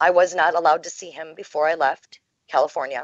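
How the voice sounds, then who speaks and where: In a plain, everyday voice, a woman with an American accent talks at a moderate pace and a fairly low pitch. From Minnesota, USA. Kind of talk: interview answer.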